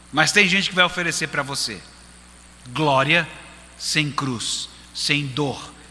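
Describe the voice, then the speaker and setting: Speaking at a very slow pace, a man has a fairly high pitch. Audible room echo surrounds his voice. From Brazil, Recife. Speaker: pastor. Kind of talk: sermon.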